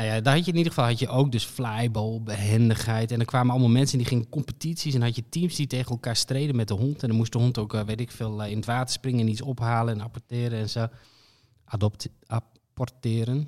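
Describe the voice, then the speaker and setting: A man talks at a very fast pace in a medium pitch with fairly even intonation. The recording is very clean, with a silent background. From Friesland, Netherlands. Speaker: podcast co-host. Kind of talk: casual chat.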